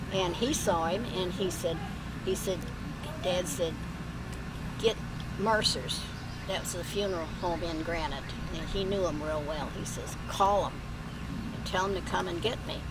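A woman at a moderate pace with long, frequent pauses and ordinary pitch variation, dry with no echo, over loud background noise. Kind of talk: storytelling to family. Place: garden. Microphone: camera far.

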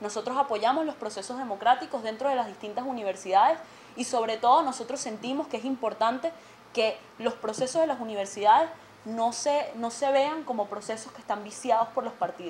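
Fairly quick speech from a woman with a fairly high pitch, ordinary pitch variation and big swings in loudness, over light background noise. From Venezuela. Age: 20s. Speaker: student representative; guest. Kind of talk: TV interview. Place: studio.

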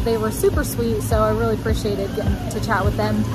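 Clear music plays behind a woman as she talks. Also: dry sound with no echo. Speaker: travel vlogger. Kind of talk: casual vlog chat. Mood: calm, encouraging. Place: waterside. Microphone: phone near.

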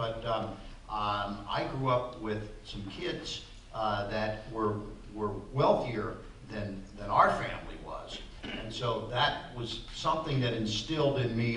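A man with ordinary pitch variation, audible room echo and light background noise. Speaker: interview guest. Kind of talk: interview answer. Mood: relaxed reminiscing. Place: hall.

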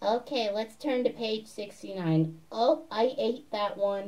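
A put-on character voice, female-sounding and fairly high-pitched, at a very slow pace. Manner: funny, comedic.

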